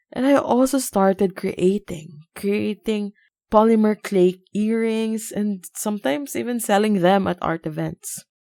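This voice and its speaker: The voice has a dark, mellow tone and ordinary pitch variation at a fairly slow pace. The recording is very clean, dry and close, with a silent background and no echo. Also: woman. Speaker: podcast host. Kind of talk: speech. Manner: loud.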